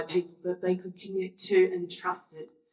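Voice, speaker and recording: An Australian accent at a moderate pace. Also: woman. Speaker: workshop facilitator. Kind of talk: panel discussion.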